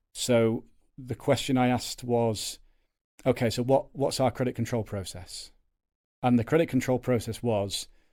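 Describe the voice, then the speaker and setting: In a Yorkshire accent, a man with a dark, mellow tone talks at a medium pitch and moderate pace with fairly even intonation, in a very clean recording with a silent background. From Yorkshire, northern England. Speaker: agency co-owner, salesman. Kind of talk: podcast interview. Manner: loud.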